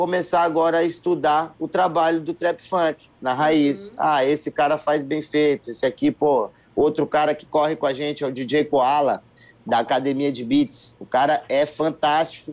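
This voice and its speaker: The speaker is a man with a fairly high pitch. He has a normal speaking voice. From Brasília, Brazil. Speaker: singer and musician. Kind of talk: casual interview.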